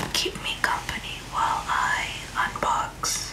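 A woman whispering at a very slow pace. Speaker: ASMR creator. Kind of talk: ASMR unboxing. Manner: whispered. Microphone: studio mic.

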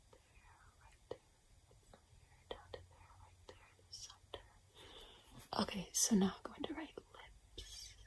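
A woman's whisper at a fairly slow pace, broken by long, frequent pauses. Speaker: ASMR creator. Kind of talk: ASMR role play. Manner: whispered. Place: home room. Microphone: phone near.

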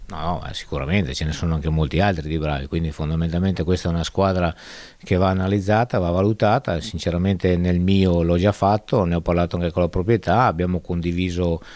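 Speaking at a very fast pace, a man uses a very deep, low voice with fairly even intonation. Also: dry sound with no echo. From northern Italy, Mantua province; northern Italy. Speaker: football sporting director. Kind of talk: interview. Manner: halting. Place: hall. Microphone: handheld.

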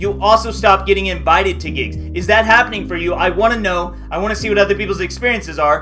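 A very fast-talking man with faint music in the background. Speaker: freelancing channel host. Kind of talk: casual vlog chat.

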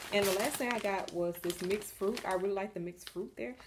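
A woman at a very fast pace, with noticeable background noise. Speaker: home vlogger. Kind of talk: casual haul vlog chat. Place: home room. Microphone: phone near.

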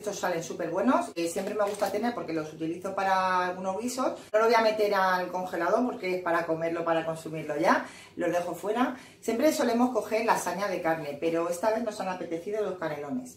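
A woman's voice, with ordinary pitch variation, carries audible room echo. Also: fairly quick pace. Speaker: home vlogger. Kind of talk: casual vlog chat. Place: kitchen.

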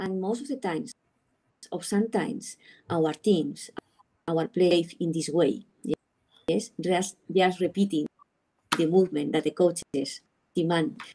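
In a Spanish accent, a woman with a fairly low pitch and a dark, mellow tone speaks at a fairly slow pace with long, frequent pauses. Her intonation is lively, and the background is quiet. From Spain. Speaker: sports psychologist. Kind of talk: online panel discussion. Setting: video call. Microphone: video call.

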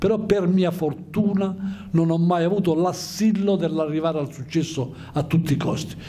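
A man's high voice with ordinary pitch variation, moderate pace and hardly any pauses. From Calabria, Aspromonte; Calabria. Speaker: writer and engineer; guest. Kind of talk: talk to students. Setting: school conference hall with audience. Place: hall. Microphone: handheld.

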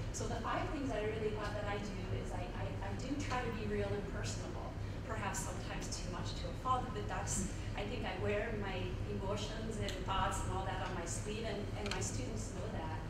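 A woman speaks at a fairly quick pace over loud background noise. Audible room echo surrounds her voice. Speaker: professor. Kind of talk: lecture. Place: hall.

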